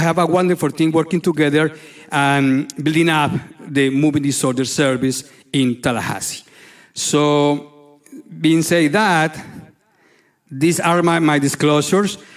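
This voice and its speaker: Speaking at a moderate pace, a man with a Spanish accent has a fairly high pitch. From Colombia. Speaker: neurologist. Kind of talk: lecture. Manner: halting.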